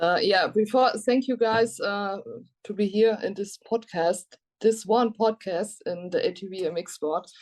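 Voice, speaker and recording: A woman with a German accent speaks at a fairly slow pace, her pitch medium and her pitch variation ordinary. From Germany. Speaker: ATV racing team manager and journalist. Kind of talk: podcast interview. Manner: halting.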